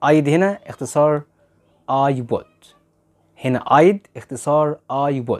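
Against a quiet background, a man speaks at a very slow pace with a fairly high pitch and ordinary pitch variation. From Egypt. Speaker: English teacher. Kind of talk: lecture. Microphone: lapel.

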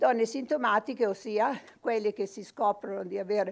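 A woman's fairly high-pitched voice moves at a moderate pace. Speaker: radiologist. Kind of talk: medical lecture. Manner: impassioned; halting, many repetitions. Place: studio.

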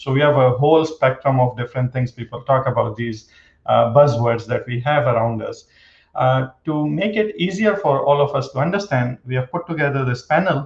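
The voice is somewhat breathy, with audible room echo. The background is quiet. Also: man, ordinary pitch variation, moderate pace. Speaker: panel moderator, professor. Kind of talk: panel moderator introduction. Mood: friendly, light humor. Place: home room. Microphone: webcam.

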